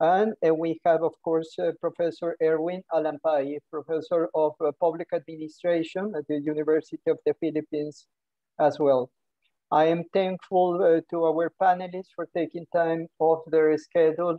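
The sound is dry with no echo, over a quiet background. The pace is moderate. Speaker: webinar moderator. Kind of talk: formal introduction of panel. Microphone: video call.

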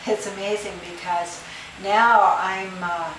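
A woman talks at a fairly slow pace with a medium pitch. Audible room echo and light background noise are present. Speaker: fibromyalgia patient. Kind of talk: interview answer. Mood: upbeat, pleased. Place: home room. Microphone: camera far.

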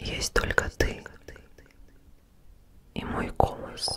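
A woman whispers, soft-spoken and breathy, with light background noise. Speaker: ASMR creator. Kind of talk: guided relaxation, soft-spoken ASMR. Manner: soft, slow, breathy near-whisper. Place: home room. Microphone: studio mic.

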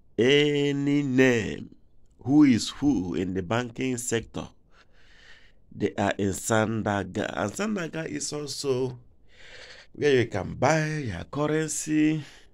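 Over a quiet background, a man talks at a very slow pace with long, frequent pauses. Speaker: driver vlogger. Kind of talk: casual vlog commentary. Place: car. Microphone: phone near.

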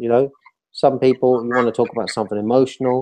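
A man's dark, mellow voice at a very fast pace. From Ireland. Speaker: mobile health entrepreneur; webinar presenter. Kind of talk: interview on a video call. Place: home room. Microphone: video call.

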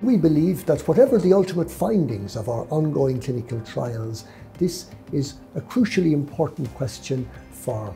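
A man talks at moderate speed while music sounds faintly behind him. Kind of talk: interview answer. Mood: earnest, measured. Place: office. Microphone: lapel.

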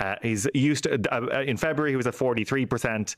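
A man speaks with an Irish accent. The background is quiet. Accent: Irish (Clare). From Ireland, County Clare. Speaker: news correspondent and podcast host. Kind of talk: casual news chat. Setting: studio. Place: studio. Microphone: studio mic.

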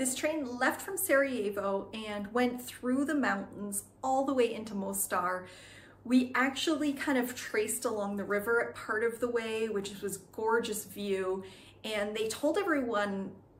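Somewhat breathy, a woman talks at a fairly slow pace with ordinary pitch variation. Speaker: travel vlogger. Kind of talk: casual vlog chat. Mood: cheerful, animated. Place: home room. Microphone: phone near.

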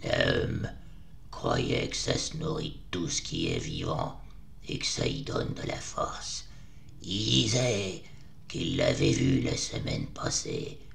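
A man speaks at a fairly slow pace over clear background noise. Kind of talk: rustic dialect. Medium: audio drama. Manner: hushed, urgent, fearful.

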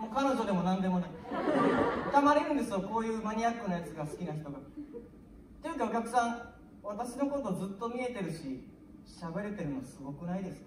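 A woman talks at a fairly quick clip, her loudness swinging widely. Light background noise and audible room echo surround her. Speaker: comedian performing a sketch. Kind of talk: comic sketch monologue. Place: stage.

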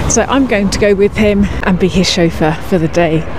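A woman speaks with ordinary pitch variation. The sound is dry with no echo, though there is noticeable background noise. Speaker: vlogger. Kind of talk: casual vlog chat. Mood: cheerful, smiling. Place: street. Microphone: phone near.

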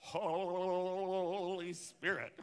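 In a put-on character voice, the speaker holds a middle pitch with monotone, flat intonation. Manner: exaggerated, theatrical, wobbly with added weirdness.

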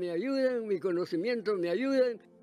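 With faint music in the background, a man speaks at a high pitch with lively intonation. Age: 80s+. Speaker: industrial electronics graduate. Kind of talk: interview answer. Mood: cheerful, smiling. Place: home room. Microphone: handheld.

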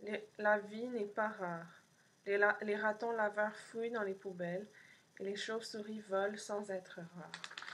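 Light background noise accompanies speech delivered at a fairly slow pace in a monotone, flat intonation. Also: woman. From Montreal, Quebec. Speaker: poet and artist reading own zine. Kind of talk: poem reading, multilingual French, English and Spanish. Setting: pre-recorded video for an event. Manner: slow, dreamy, contemplative; measured pauses, deadpan lists. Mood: calm, soft, intimate. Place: home room. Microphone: webcam.

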